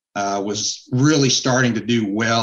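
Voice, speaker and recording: Here is a man with medium pitch and a fairly slow pace. It is an ordinary speaking voice. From US West (Utah). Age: 60s. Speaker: cancer survivor and author. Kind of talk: interview.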